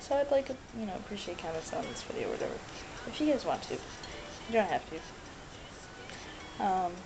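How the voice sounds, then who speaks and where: A woman with a fairly high pitch and very wide pitch swings speaks at a moderate pace, with audible room echo and noticeable background noise. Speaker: vlogger. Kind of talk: personal video diary. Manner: halting, many fillers.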